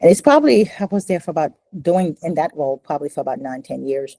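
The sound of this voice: Speaking fast with lively intonation, a woman has a low pitch and a dark, mellow tone, recorded dry and close with no echo.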